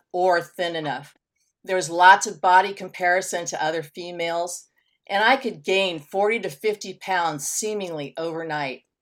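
In a very clean recording with a silent background, a woman with an unremarkable speaking voice talks at a moderate pace with ordinary pitch variation. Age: 60s. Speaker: weight loss success story guest. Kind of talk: interview.

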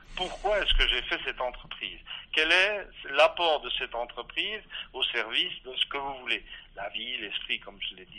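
A man speaks at a moderate pace with lively intonation. Noticeable background noise sits behind him. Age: 60s. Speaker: physicist and philosopher, author. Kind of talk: interview. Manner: halting, many repetitions.

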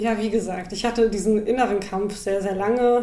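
A woman's fairly high voice comes through with audible room echo and noticeable background noise. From Germany, Hamburg. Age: 20s. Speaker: activist. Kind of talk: interview.

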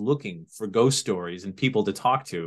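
With a plain, everyday voice and an American accent, a medium-pitched man talks at a fairly quick pace against a quiet background. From Connecticut (Sandy Hook). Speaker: TV writer, producer and host on paranormal legends. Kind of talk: casual interview chat.

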